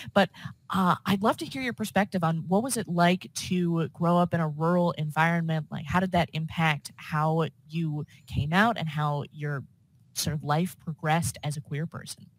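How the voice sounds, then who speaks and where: A woman with an American accent speaks somewhat breathily at a fairly low pitch and moderate pace, with ordinary pitch variation and a dry, close sound with no echo. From US suburbs. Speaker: podcast host. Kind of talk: casual interview chat.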